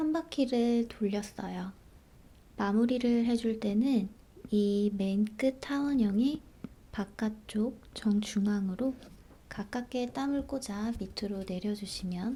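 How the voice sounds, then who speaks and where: Soft-spoken and somewhat breathy, a woman whispers at a very slow pace. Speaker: embroidery instructor. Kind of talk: ASMR embroidery tutorial narration. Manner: whispery, soft-spoken.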